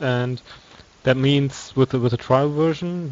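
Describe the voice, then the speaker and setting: This speaker has a non-native accent and fairly even intonation. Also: man. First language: not English. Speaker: esports commentator. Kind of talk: live commentary. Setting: live stream. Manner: halting.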